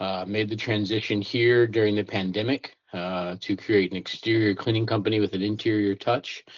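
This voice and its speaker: With a plain, everyday voice, a man talks at a moderate pace and a fairly low pitch. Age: 30s. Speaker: cleaning business owner. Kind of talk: interview. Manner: casual, filler-heavy.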